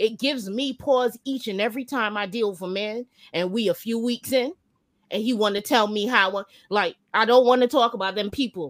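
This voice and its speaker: A woman's ordinary speaking voice, fairly high in pitch with ordinary pitch variation, at a moderate pace in a dry, close sound with no echo. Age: 40s. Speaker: panelist. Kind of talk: casual chat. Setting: online video call.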